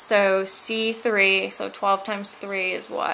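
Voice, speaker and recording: Her voice sits at a medium pitch as the woman speaks. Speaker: chemistry teacher. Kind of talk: tutorial.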